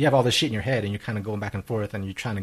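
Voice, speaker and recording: Fairly low in pitch and somewhat breathy, a man speaks with fairly even intonation. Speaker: podcast host. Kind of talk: casual chat. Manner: fast.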